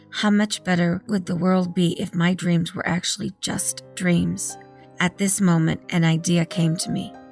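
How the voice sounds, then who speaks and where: Against background music, a woman talks at a moderate pace, her fairly low pitch following fairly even intonation. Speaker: horror story narrator. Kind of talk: horror story reading.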